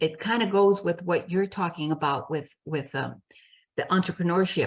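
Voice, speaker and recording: A woman talks at a moderate pace in a fairly low pitch. Her voice is somewhat breathy, with ordinary pitch variation. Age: 70s. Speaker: business coach and speaker. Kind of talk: interview conversation.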